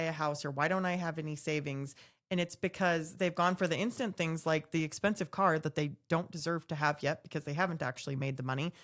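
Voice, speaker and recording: A woman with an unremarkable speaking voice, fairly low in pitch with ordinary pitch variation, at a fairly quick pace, in a very clean recording with a silent background. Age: 40s. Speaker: podcast co-host, mortgage professional. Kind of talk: casual panel discussion.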